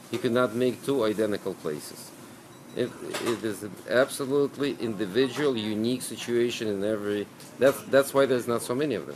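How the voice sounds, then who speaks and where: A man talks at a medium pitch with ordinary pitch variation. Noticeable background noise is present. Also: fairly quick pace. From Ukraine, Lviv; Ukraine. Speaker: deli owner. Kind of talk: interview monologue. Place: shop.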